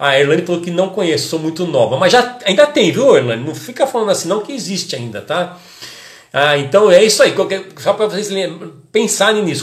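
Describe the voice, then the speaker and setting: An animated man at a fairly quick pace, with very wide pitch swings over noticeable background noise. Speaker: hairdressing educator and podcast host. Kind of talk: casual live-stream talk to followers.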